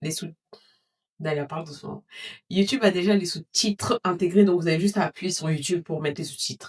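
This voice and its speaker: A somewhat breathy woman at a fairly low pitch, fairly quick pace and ordinary pitch variation, with long, frequent pauses and a dry, close sound with no echo. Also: big swings in loudness. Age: 30s. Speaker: lifestyle vlogger. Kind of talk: casual vlog talk to camera. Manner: fast; hurried.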